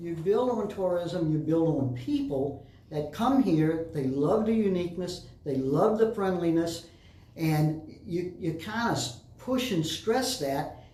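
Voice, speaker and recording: A man with an American accent talks at a high pitch and a fairly slow pace. His intonation is lively, and there is audible room echo. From Florida Keys, Key West. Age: 70s. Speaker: former mayor. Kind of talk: interview.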